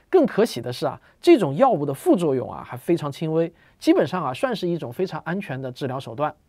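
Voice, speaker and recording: Against a quiet background, a man with a fairly high pitch and a dark, mellow tone talks at a very fast pace, with lively intonation and big swings in loudness. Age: 40s. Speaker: science popularizer. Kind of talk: monologue explainer video. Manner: casual, filler-heavy. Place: home room.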